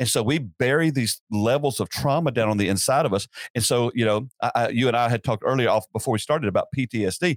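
A man with a Southern US accent and a medium pitch speaks very fast with hardly any pauses and very even loudness. The recording is very clean, with a silent background and a dry, close sound with no echo. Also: ordinary pitch variation. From US South, upstate South Carolina. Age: 50s. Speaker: pastor. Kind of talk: casual interview.

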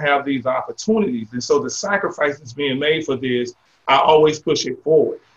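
With an American accent, a man speaks at a fairly quick pace, somewhat breathy, fairly high in pitch, with ordinary pitch variation. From Jacksonville, Florida. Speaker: mayor and retired military veteran. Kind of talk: interview.

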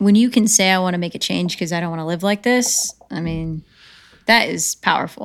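A woman with an American accent talks at a moderate pace and a medium pitch. Hers is an unremarkable speaking voice. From upstate New York and North Carolina. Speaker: writer, producer and actress. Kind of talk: casual interview chat.

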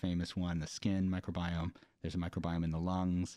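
This man has a very deep, low voice with a dark, mellow tone and an American accent. He moves at a fairly quick pace on a very clean recording with a silent background. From US West, California Central Valley (Fresno). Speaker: engineering professor. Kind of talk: interview conversation.

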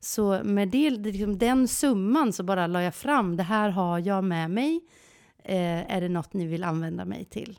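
Over a silent background in a very clean recording, a woman speaks at a medium pitch. Her pace is fairly slow and her intonation lively. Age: 40s. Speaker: podcast co-host. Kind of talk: casual chat. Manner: animated.

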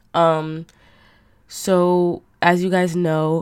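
A woman talks in a flat monotone with a fairly low pitch. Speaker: podcast host. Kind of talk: casual monologue. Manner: hesitant, many fillers.

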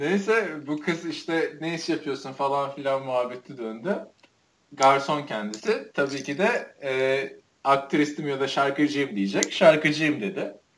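This man has a plain, everyday voice with a fairly high pitch and ordinary pitch variation. He speaks at a fairly slow pace. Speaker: podcast host. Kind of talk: casual chat.

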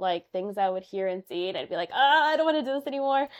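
A woman with a Chicago accent. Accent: Chicago American English. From Chicago, Albany Park. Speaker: social worker and therapist. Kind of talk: interview.

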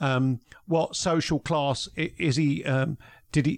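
This man speaks with a London accent. His voice sits fairly high in pitch. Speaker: former police detective, podcaster. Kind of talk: casual chat. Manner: halting, many fillers.

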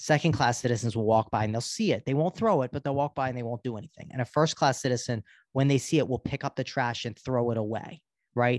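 Recorded dry and close with no echo against a quiet background, a man with an American accent talks very fast at a medium pitch with ordinary pitch variation. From US, Baltimore, Maryland. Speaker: psychiatrist. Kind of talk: interview conversation. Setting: video call.

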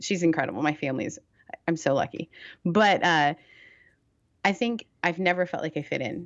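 A woman with an American accent speaks at a moderate pace with a fairly low pitch. Her intonation is lively, and she leaves long, frequent pauses. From Canada. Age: 30s. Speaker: pastor and podcast host. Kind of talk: casual interview chat.

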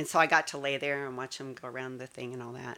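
Speaking at a fairly quick pace, a woman has a very deep, low pitch and a bright, sharp tone. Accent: American. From Colorado, US. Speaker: church member sharing her faith story. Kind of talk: testimony. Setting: studio.

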